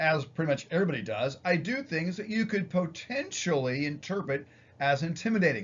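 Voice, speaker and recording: Loud speech with lively intonation. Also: man. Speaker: psychology professor. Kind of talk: lecture.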